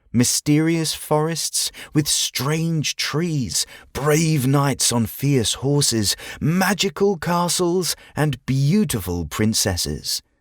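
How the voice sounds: The pace is slow. The sound is dry and close with no echo, in a very clean recording with a silent background.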